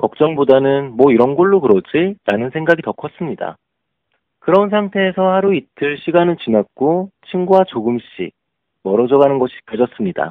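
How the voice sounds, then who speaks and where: Here is a man with a plain, everyday voice and a fairly high pitch. His pace is moderate and his intonation lively. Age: 30s. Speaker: leadership education instructor. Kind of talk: prepared lecture.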